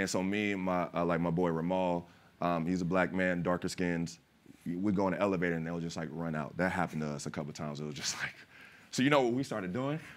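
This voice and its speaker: A man's very deep, low voice with an American accent at a very fast pace. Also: ordinary pitch variation. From California, family from West Philadelphia. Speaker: actor and former pro basketball player; actor. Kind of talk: panel discussion. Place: stage. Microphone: lapel.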